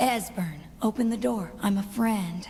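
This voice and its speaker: Over light background noise, a female-sounding put-on character voice speaks at a moderate pace and a medium pitch. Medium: video game.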